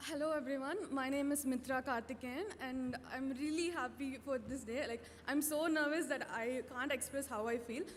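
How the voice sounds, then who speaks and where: Against noticeable background noise, a woman with a high pitch speaks at a moderate pace. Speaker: first-year student. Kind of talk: impromptu speech.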